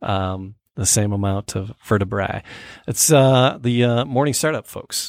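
Using a plain, everyday voice with an American accent, the speaker moves at a moderate pace with lively intonation. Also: man. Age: 50s. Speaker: radio host. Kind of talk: casual chat. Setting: studio.

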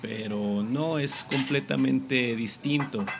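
A man speaks at a very slow pace with ordinary pitch variation. Noticeable background noise runs underneath. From Zacatecas, Mexico. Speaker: podcast host, teacher. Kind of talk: casual chat. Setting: café.

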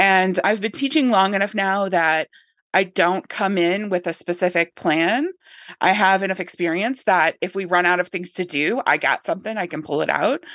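A woman speaks with an American accent in an unremarkable speaking voice, medium in pitch with ordinary pitch variation. Her moderate pace comes through as a dry, close sound with no echo against a quiet background. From US South, northern Arkansas. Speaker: political science professor. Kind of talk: casual interview.

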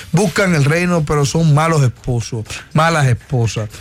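Against noticeable background noise, a man speaks at a fairly slow pace in a fairly high pitch. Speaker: pastor and radio co-host. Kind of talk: casual chat.

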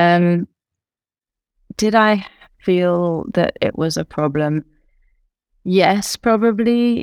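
A woman with a British accent speaks with lively intonation in a dry, close sound with no echo, on a very clean recording with a silent background. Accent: British English (RP-like). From England. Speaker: choreographer and artistic director. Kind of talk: interview.

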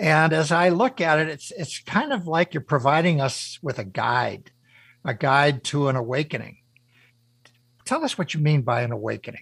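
A man speaks at a moderate pace with an ordinary speaking voice, fairly high pitch and lively intonation. The recording is very clean, with a silent background. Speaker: radio show host and business mentor. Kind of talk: radio interview.

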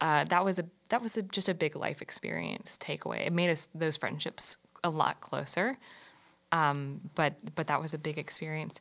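In an American accent, a woman speaks at a moderate pace with vocal fry. Her pitch is very deep and low, with ordinary variation. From North Carolina, Greensboro. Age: 30s. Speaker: startup founder and CEO. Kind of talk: interview.

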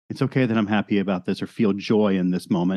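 A man talks in a fairly low pitch with fairly even intonation. The background is quiet. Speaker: pastor. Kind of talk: casual interview. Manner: loud, fast-paced.

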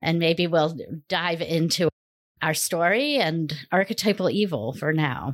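The woman's voice has a fairly low pitch. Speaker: Jungian analyst, co-host. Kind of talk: educational conversation, analytical discussion.

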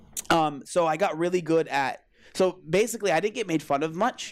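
A man's plain, everyday voice, fairly high in pitch with ordinary pitch variation, on a very clean recording with a silent background. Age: 20s. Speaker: weight-loss vlogger and CrossFit athlete. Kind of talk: casual chat.

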